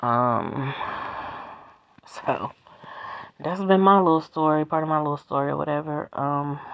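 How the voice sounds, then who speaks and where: Long, frequent pauses break up a woman's fairly slow speech, her very deep, low pitch showing ordinary variation. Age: 30s. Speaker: vlogger. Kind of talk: casual monologue. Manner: stutter.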